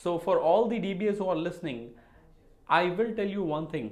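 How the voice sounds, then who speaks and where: A man talks in a room with audible echo. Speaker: database administration educator. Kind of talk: solo Q&A video lecture. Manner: loud.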